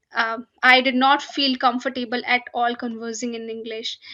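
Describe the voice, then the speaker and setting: A woman speaks at a fairly slow pace in a high, bright, sharp voice. Her intonation stays fairly even. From India, small town. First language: Hindi or other Indian language. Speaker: finance professional. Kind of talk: podcast interview. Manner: hesitant, many fillers.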